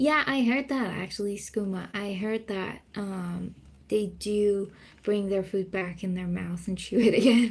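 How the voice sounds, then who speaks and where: With a Persian accent, a woman speaks somewhat breathily at a fairly slow pace and with ordinary pitch variation. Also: medium pitch for a woman. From Iran. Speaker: streamer. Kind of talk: casual chat.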